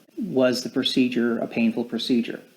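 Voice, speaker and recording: Here a man speaks at a medium pitch. His pace is moderate. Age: 60s. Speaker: patient sharing medical experience. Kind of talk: testimony. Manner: hesitant, with fillers.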